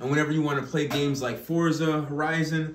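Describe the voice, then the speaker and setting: Over light background noise and audible room echo, a man talks in a monotone with flat intonation. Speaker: content creator giving a building tour. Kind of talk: casual vlog chat. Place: home room.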